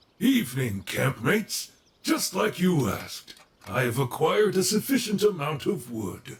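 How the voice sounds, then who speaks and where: With very wide swings in pitch, this put-on character voice keeps a moderate tempo. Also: man, fairly high pitch for a man. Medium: audio drama. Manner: polite, proper, pedantic.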